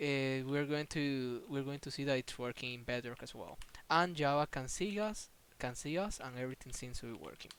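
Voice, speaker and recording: A man talks at a fairly quick pace in a fairly high voice, with ordinary pitch variation. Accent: non-native. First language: not English. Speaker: gaming tutorial youtuber. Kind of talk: tutorial. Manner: halting, many fillers and repetitions.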